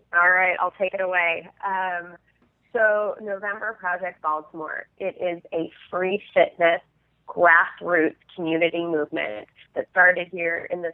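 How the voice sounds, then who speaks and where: In an American accent, a woman with a plain, everyday voice speaks at a fairly slow pace with a medium pitch and fairly even intonation. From Southern California. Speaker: nonprofit fundraiser, fitness group co-founder. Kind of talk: casual interview.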